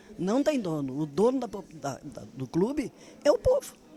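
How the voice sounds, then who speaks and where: A woman is speaking fairly slowly. Noticeable background noise can be heard. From southern Brazil, Rio Grande do Sul. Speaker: former politician and activist. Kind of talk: interview.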